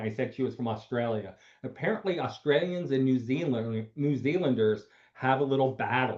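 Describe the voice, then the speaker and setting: A man speaks in a plain, everyday voice, pitched fairly high. His pace is moderate and his pitch variation is ordinary. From Pennsylvania, US. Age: 60s. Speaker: doctor and online panel host. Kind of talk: panel discussion.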